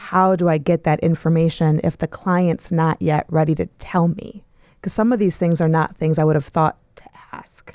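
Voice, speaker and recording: At a moderate pace, a woman with a fairly low pitch and a dark, mellow tone speaks with fairly even intonation in a dry, close sound with no echo. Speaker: divorce attorney.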